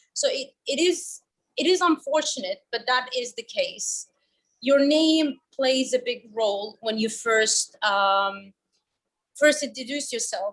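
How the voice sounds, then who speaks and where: A woman's high voice in a Finnish accent, with lively intonation at a very slow pace. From Finland (Kurdish origin, moved at seven). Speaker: panel guest. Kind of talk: webinar discussion, personal story.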